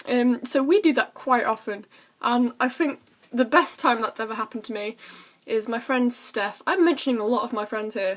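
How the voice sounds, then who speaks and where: With an English accent, a woman speaks at a high pitch. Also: ordinary pitch variation. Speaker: vlogger. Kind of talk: casual chat. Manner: fast.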